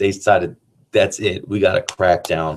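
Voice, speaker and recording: A man talks at a fairly quick pace in a fairly low, somewhat breathy voice. The recording is very clean, with a silent background. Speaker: teacher. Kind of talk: casual chat; lecture. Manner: monotone.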